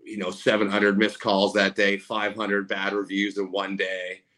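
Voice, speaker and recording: Speaking with a Canadian accent, a man has a fairly low pitch and a bright, sharp tone. He talks at a fairly slow pace. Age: 40s. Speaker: roofing contractor and social media personality. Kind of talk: casual interview.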